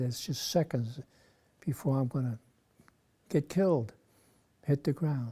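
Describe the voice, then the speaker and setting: In a very clean recording with a silent background, a man speaks at a fairly high pitch in a dark, mellow, somewhat breathy voice. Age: 90s. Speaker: war veteran. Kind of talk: interview.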